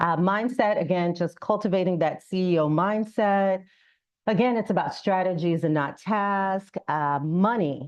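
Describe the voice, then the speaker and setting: Against a quiet background, a woman speaks at a fairly slow pace in a medium pitch. She has a plain, everyday voice, very even loudness and ordinary pitch variation. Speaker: business consultant. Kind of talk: public talk.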